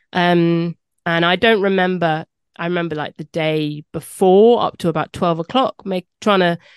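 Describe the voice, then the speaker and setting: Dry and close with no echo and a quiet background, a woman talks with ordinary pitch variation. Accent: southern English. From London. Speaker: podcast host. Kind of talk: interview.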